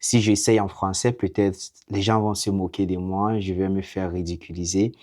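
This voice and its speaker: The speaker has an English accent and a monotone, flat intonation at a moderate pace. The recording is very clean with a silent background. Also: man, fairly low pitch for a man. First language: English (speaking French). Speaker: vlogger. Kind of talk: casual monologue to camera. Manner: halting, hesitant.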